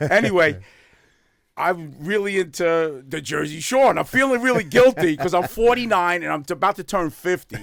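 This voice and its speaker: A man talks with a New York accent at a moderate pace. His voice is high, with lively intonation. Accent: New York (Bronx). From New York City, the Bronx. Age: 60s. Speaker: dry cleaning business owner and social media personality. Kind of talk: podcast interview. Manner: energetic.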